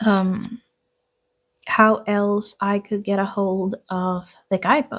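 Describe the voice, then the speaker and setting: A woman at a very slow pace, medium in pitch, with a non-native accent and monotone, flat intonation. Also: very clean recording, silent background. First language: not English. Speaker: tarot reader and craft YouTuber. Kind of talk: casual monthly vlog talk to camera. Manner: hesitant, many fillers.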